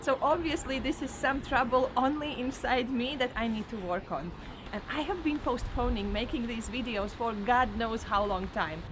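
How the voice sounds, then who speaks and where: Someone with a strong Eastern European accent talks at a moderate pace with lively intonation, over noticeable background noise. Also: woman, high pitch for a woman. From Latvia. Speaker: vlogger and trainer. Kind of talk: personal vlog monologue.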